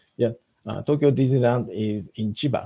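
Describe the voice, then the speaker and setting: A man speaks at a moderate pace and medium pitch with a dark, mellow tone. The sound is dry and close with no echo, over a quiet background. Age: 60s. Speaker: business speaker. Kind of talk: webinar presentation. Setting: online webinar. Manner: halting, many fillers.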